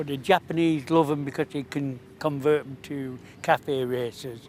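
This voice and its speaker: A man talks in a plain, everyday voice at a medium pitch. His pace is moderate and his intonation fairly even. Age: 60s. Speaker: vintage motorbike owner. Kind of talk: casual interview at a show.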